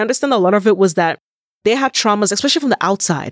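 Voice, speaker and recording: On a very clean recording with a silent background and a dry, close sound with no echo, a woman speaks in an ordinary speaking voice, medium in pitch with ordinary pitch variation. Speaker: podcast host. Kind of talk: casual chat.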